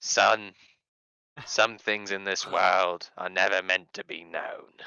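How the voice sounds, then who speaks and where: A man performs a put-on character voice. He talks fairly slowly at a fairly low pitch. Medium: actual play.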